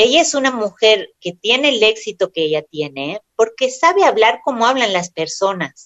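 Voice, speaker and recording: Fairly slowly and with hardly any pauses, a woman of fairly high pitch talks with very wide pitch swings. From Argentina, Córdoba. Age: 30s. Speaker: writer and actress. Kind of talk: interview.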